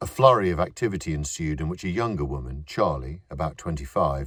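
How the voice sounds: Here a man talks at a moderate pace. His pitch is extremely low, with a slightly husky edge.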